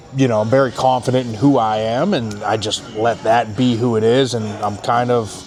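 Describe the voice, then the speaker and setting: With music in the background, a man of medium pitch talks at a moderate pace, hardly pausing. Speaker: former pro football player and radio analyst. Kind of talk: casual chat. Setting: steakhouse dinner. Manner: loud; animated.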